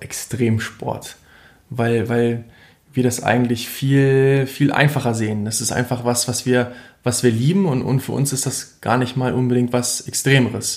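A man at medium pitch speaks at a fairly slow pace in a monotone, flat intonation. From central Germany (Harz, Lower Saxony). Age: 20s. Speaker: ultra trail runner. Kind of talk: interview. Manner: hesitant with fillers and repetitions.

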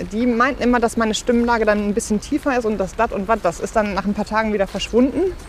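Against noticeable background noise, a woman with a fairly high voice talks at a very fast pace with ordinary pitch variation. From Ruhr area, Bochum. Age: 30s. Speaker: pastor. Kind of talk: casual interview while walking. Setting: outdoors, walking.

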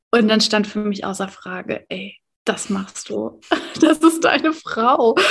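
A woman's fairly high voice with lively intonation, vocal fry and a very slow pace. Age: 30s. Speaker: life coach and meditation teacher. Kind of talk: casual interview.

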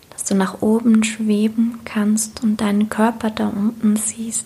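A soothing, calm tone in monotone, flat intonation at a very slow pace, over noticeable background noise. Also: woman. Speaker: meditation guide and coach. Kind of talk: guided meditation. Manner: slow, soothing, calm; gentle, dreamy, repeated phrases.

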